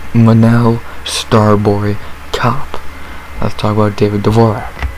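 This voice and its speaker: Very slow, monotone, flat speech from a man with a fairly low pitch, over noticeable background noise. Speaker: MMA fight analyst YouTuber. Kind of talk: casual fight breakdown monologue. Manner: casual, conversational with fillers.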